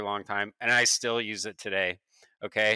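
A man with an American accent talks at a moderate pace and fairly low pitch, his tone bright and sharp. The sound is dry and close with no echo, on a very clean recording with a silent background. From Oregon, US. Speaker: designer. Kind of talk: casual chat.

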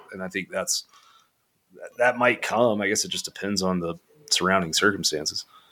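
With long, frequent pauses, a man speaks at a moderate pace. His voice is fairly low, with ordinary pitch variation. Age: 30s. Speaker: college football podcaster. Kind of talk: casual chat.

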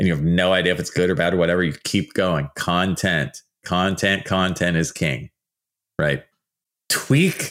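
On a very clean recording with a silent background, a man speaks at a moderate pace in a very deep, low voice with an animated tone. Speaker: archaeologist and podcast host. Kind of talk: solo podcast monologue.

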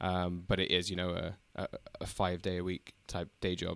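A man with a London accent at a fairly slow pace, on a very clean recording with a silent background. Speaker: podcaster.

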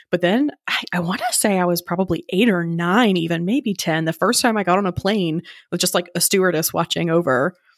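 This woman has a plain, everyday voice with an American accent, fairly low in pitch and moving at a fairly quick pace. Her pitch varies in an ordinary way, and the sound is dry and close with no echo. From US South, rural North Carolina. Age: 30s. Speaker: podcast host telling her own story. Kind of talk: interview testimony. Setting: studio.

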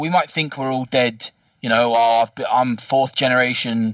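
A man with a southern English accent, in a dry, close sound with no echo. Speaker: football podcast panelist. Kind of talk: casual chat. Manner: swearing, blunt.

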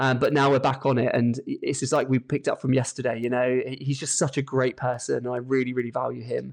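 A man with a British accent at a very fast pace over a quiet background. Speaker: lead vocalist and session musician. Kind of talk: casual interview chat. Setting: phone call.

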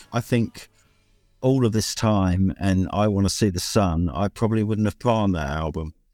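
With music in the background, a man speaks at a moderate pace with a British accent, his fairly low pitch carrying ordinary pitch variation. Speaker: songwriter and bass player. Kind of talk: casual chat. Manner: hesitant, many fillers.

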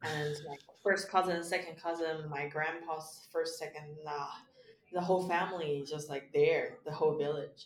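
Amid noticeable background noise, a woman with a Chinese accent speaks in an animated tone at a fairly low pitch. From China. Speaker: stand-up comedian. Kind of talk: casual interview. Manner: animated, laughs often.

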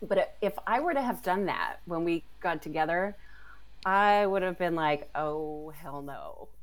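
In a normal speaking voice, a woman with an American accent talks at a fairly slow pace and medium pitch with ordinary pitch variation. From California. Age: 40s. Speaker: astrologer. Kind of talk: casual interview.

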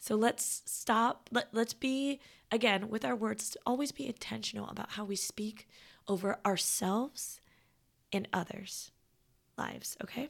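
At a fairly slow pace, a woman speaks with a fairly high pitch, vocal fry and ordinary pitch variation on a very clean recording with a silent background. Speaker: podcast host. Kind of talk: reflective solo podcast talk.

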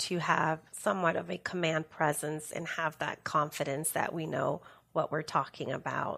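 The speaker has a Spanish accent, heard in a very clean recording with a silent background. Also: woman. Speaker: workplace safety professional. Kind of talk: interview.

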